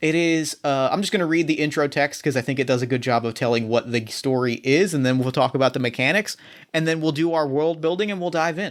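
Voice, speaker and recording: In an American accent, the speaker rushes along at a very fast pace with hardly any pauses and ordinary pitch variation. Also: man, fairly high pitch for a man. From US, South Jersey. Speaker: podcast host and game master. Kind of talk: casual chat.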